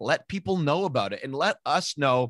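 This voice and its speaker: A man with an unremarkable speaking voice talks at a medium pitch and a moderate pace. The sound is dry and close, with no echo. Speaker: podcast host. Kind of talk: interview.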